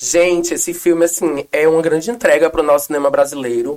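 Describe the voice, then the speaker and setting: This woman has a fairly low pitch and a dark, mellow tone. Her pitch varies in an ordinary way. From Northeast Brazil. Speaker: actress and activist. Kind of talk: casual interview. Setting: studio. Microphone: too far from the mic.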